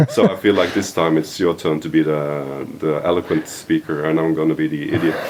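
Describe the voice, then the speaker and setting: A man with a Norwegian accent and a very deep, low pitch, in a monotone, flat delivery at a fairly quick pace with hardly any pauses, over noticeable background noise. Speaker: podcast host. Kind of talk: casual chat. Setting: shop.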